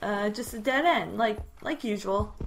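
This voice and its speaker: Over music in the background, a woman with a Canadian accent speaks at a fairly high pitch. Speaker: gaming YouTuber. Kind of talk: gameplay commentary. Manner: animated.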